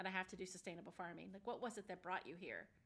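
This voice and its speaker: Her tone is animated. This woman's voice is also bright and sharp. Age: 50s. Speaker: podcast host. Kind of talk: casual interview.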